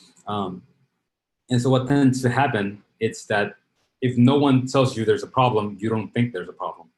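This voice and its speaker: Fairly even intonation from a man with a Spanish accent. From Dominican Republic, Santo Domingo; moved to South Bronx at 12. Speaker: startup founder and CEO. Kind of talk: interview.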